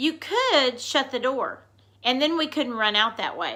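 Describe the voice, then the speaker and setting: A put-on character voice from a woman, raised and projected, high-pitched, at a fairly slow pace. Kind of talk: bedtime story. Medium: read story. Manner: in chorus, innocent.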